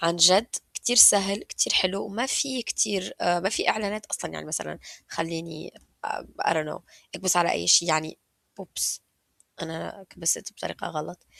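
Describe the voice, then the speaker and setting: Using a fairly low pitch, a woman with vocal fry and a bright, sharp tone speaks at a moderate pace with lively intonation, in a dry, close sound with no echo. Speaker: YouTuber. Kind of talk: casual screen-share tutorial. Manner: casual, code-switching with English.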